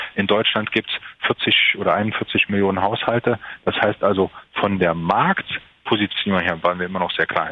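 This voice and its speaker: Noticeable background noise behind a man's moderately paced, fairly evenly intoned speech. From Saarland, Germany (Merzig). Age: 40s. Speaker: entrepreneur. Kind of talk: interview. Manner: halting, many fillers.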